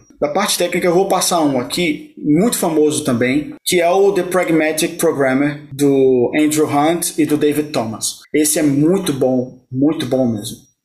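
With hardly any pauses and very even loudness, a man speaks in a normal speaking voice at a fairly high pitch, using ordinary pitch variation. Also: fairly slow pace. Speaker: site reliability engineer. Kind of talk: interview.

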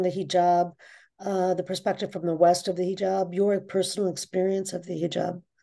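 Against a quiet background, a woman speaks at medium pitch with a dark, mellow tone. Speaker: podcast host. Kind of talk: interview.

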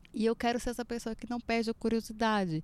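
A woman with a Brazilian accent speaks at a fairly high pitch. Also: very clean recording, silent background. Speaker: podcast host. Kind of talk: casual chat.

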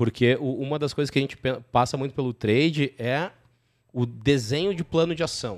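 Moderate pace and ordinary pitch variation from a man, fairly high in pitch, in a normal speaking voice. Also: very clean recording, silent background. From southern Brazil. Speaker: podcast host, company CEO. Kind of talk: casual business interview.

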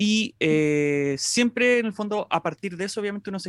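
A man with a Chilean accent, recorded with a dry, close sound and no echo. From Chile, Santiago. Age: 20s. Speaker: music YouTuber. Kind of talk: casual chat.

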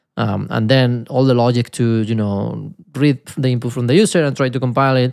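A man with a Spanish accent, medium pitch, fairly even intonation and a moderate pace, on a very clean recording with a silent background. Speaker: podcast host, software developer. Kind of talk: casual chat, technical discussion. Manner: casual, humorous, laughs often.

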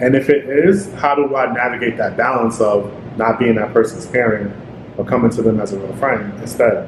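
A man's medium-pitched voice shows ordinary pitch variation, with noticeable background noise behind it. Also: moderate pace. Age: 20s. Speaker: podcast co-host. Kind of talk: casual chat.

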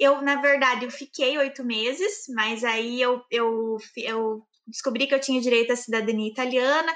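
In a southern Brazilian accent, a woman projects a raised, high-pitched voice with a bright, sharp tone at a fairly slow pace. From southern Brazil, Campo Largo near Curitiba, Paraná. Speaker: engineer. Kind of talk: interview. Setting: live stream.

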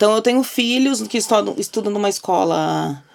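A woman speaks at a moderate speed while noticeable background noise carries on. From Porto Alegre, southern Brazil. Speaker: advertising professional. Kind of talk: casual chat.

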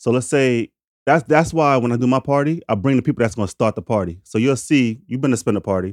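Recorded dry and close with no echo against a very clean, silent background, a man at medium pitch talks at a very fast pace with ordinary pitch variation. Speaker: podcast host. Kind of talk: casual chat.

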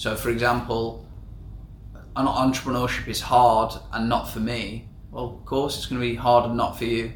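A man with an English accent and a medium-pitched voice speaks at a moderate pace in a flat monotone, with audible room echo and noticeable background noise. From England. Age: 20s. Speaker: podcast co-host, entrepreneur. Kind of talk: casual chat.

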